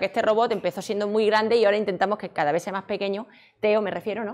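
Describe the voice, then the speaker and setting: A woman with a fairly high pitch speaks at a very fast pace. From Extremadura, Spain (Badajoz); Extremadura, Spain. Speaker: robotics researcher and lecturer; lecturer. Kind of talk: conference talk. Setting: stage with audience. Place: hall.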